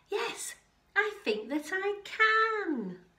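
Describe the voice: A woman does a put-on character voice at an extremely high pitch, bright and sharp in tone, with big pitch swings. She speaks at a very slow pace, and the room echo is audible.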